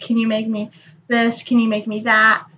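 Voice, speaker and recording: Her tone is bright and sharp, and this woman speaks at a fairly high pitch in a monotone, flat intonation. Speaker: kandi bead crafter vlogger. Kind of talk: casual vlog. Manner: halting.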